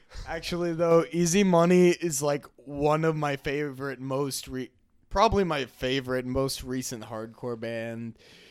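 On a very clean recording with a silent background, a man with an unremarkable speaking voice talks fairly slowly at a fairly high pitch with ordinary pitch variation. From Twin Cities suburb, Minnesota. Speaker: college student, hardcore music fan. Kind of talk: casual chat. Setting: friend's house.

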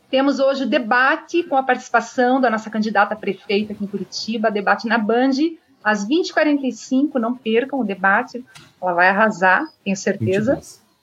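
A woman talks at a moderate pace in a plain, everyday voice, her pitch fairly high with ordinary pitch variation. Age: 40s. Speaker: political candidate and live stream host. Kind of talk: interview on live stream. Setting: live stream.

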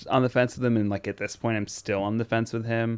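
A man at a medium pitch. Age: 20s. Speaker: podcast co-host. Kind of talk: casual chat.

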